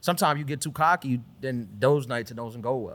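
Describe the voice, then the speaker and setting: A man with a New York accent and a medium pitch. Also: very clean recording, silent background. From Queens, New York. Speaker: comedian. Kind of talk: casual chat.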